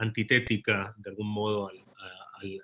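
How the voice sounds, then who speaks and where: The speaker is a man. His voice sits at a fairly low pitch. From Sweden (born in Argentina). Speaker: novelist. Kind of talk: panel discussion. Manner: halting, many fillers and repetitions.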